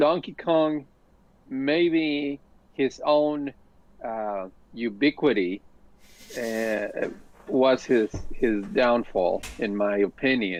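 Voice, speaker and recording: A man at medium pitch with lively intonation, very slow pace and long, frequent pauses. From Mexico. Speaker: podcast co-host. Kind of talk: casual discussion. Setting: live stream. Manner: halting, many fillers.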